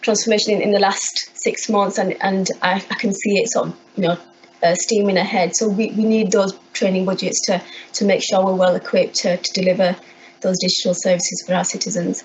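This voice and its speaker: Speaking at a fairly quick pace with a Yorkshire accent, a woman keeps a medium pitch and fairly even intonation over noticeable background noise. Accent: Bradford. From Bradford, West Yorkshire, England. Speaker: council IT services manager. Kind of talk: conference talk. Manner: halting, many repeated words.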